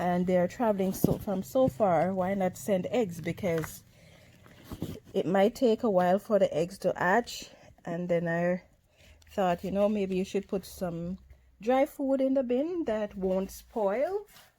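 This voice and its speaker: A soft-spoken woman at a medium pitch, dark and mellow in tone, with lively intonation at a fairly slow pace. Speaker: worm farming vlogger. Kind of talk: casual tutorial vlog.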